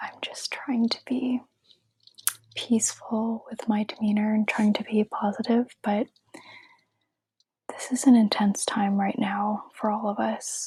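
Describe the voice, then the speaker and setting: The soft-spoken voice comes with long, frequent pauses. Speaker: ASMR creator. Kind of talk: casual talk to camera.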